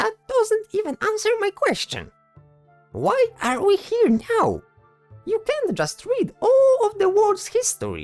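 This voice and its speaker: The put-on character voice is squeaky and extremely high in pitch, moving at a fairly slow pace. Faint music plays in the background. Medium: audio drama. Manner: worried, complaining.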